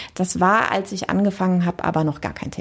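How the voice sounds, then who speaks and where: A woman speaks at a fairly quick pace and a medium pitch. Her voice has vocal fry and ordinary pitch variation. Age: 40s. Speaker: deputy tax office head, lawyer. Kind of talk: interview.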